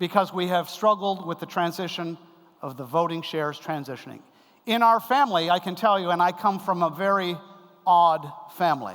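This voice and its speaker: A fairly quick, high-pitched man's voice with a Canadian accent and ordinary pitch variation. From Canada. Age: 60s. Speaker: keynote speaker on family business. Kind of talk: conference lecture. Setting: stage with audience.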